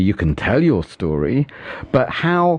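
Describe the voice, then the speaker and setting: A man speaks with a Welsh accent at a medium pitch. His pace is fairly slow. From Wales, Fishguard. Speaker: radio interviewer. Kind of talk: interview.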